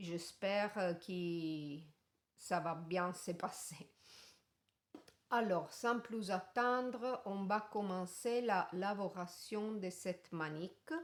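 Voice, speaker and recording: A woman in an Italian accent, medium pitch, ordinary pitch variation, at a very slow pace. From Italy. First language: Italian (speaking French). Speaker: crochet tutorial maker. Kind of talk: tutorial. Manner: halting.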